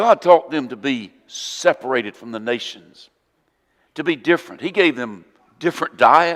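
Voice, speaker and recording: Speaking with a Southern accent, a man uses a fairly high pitch and lively intonation. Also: moderate pace, big swings in loudness. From US South, Northwest Florida. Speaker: preacher. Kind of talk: sermon.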